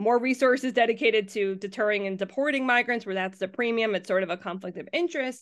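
A woman speaks in a normal speaking voice, fairly high in pitch, at a fairly quick pace with ordinary pitch variation against a quiet background. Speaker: university professor. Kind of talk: interview, explanatory talk.

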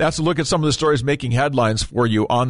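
In a quiet background, a man speaks in an upbeat tone. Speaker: radio host. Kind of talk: conservative talk radio show. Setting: radio studio. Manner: conversational, upbeat, friendly.

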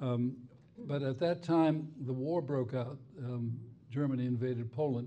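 A man with a medium pitch and a dark, mellow tone talks at a fairly slow pace, somewhat breathy, with audible room echo. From Spain and Cuba. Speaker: retired federal judge. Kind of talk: onstage interview. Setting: stage with audience.

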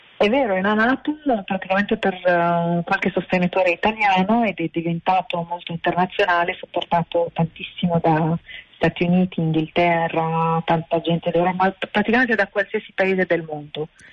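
A woman with an Arabic accent speaks at a moderate pace and fairly low pitch. Her intonation is fairly even, and the sound is dry and close with no echo. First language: Arabic (speaking Italian). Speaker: animal sanctuary founder. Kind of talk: interview. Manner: halting. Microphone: noisy line.

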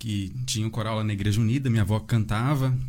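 A man speaks at a moderate pace. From Santa Isabel, São Paulo state, Brazil. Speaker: construction worker, churchgoer. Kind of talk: casual chat.

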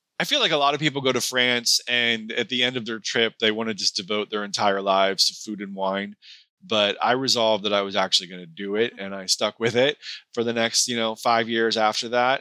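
A man's unremarkable speaking voice, medium in pitch and fairly quick, with fairly even intonation and a dry, close sound with no echo. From US Pacific Northwest, Seattle area. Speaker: author, former hospice chaplain. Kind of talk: casual interview. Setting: remote interview from home.

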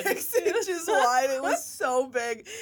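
Against noticeable background noise, a woman speaks at a high pitch with very wide pitch swings. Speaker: podcast co-host. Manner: casual, chatty.

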